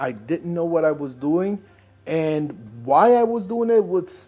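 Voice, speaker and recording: With a non-native accent, the speaker talks at a fairly slow pace with lively intonation. Music plays in the background. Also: man. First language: not English. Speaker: inventor and video creator. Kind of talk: personal vlog narration.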